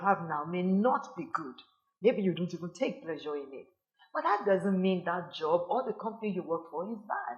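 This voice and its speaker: She has a normal speaking voice at a medium pitch and moderate pace. This woman's intonation is lively. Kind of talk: sermon-style teaching to camera. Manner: earnest, admonishing.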